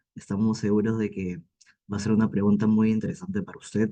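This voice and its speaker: Medium pitch from a man, with a dark, mellow tone. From Peru, Ica. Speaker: university student. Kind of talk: formal question. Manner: formal.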